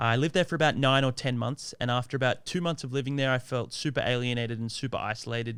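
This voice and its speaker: A man speaks at a very fast pace in an Australian accent, with hardly any pauses and fairly even intonation at a medium pitch. The recording is very clean, with a silent background. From Australia, Sydney. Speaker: Thai language content creator. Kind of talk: podcast interview. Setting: studio.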